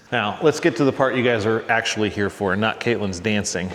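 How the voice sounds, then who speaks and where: Audible room echo and noticeable background noise surround a man with a medium pitch. His tone is relaxed and his intonation fairly even. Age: 40s. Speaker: car restoration YouTuber. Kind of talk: casual tutorial. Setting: garage workshop. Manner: relaxed, conversational.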